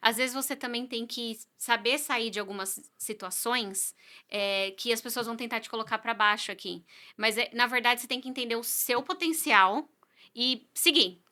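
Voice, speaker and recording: On a very clean recording with a silent background, a woman speaks in a fairly high pitch with a bright, sharp tone and big swings in loudness. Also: ordinary pitch variation, moderate pace. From Brazil. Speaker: real estate agent. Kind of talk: podcast interview.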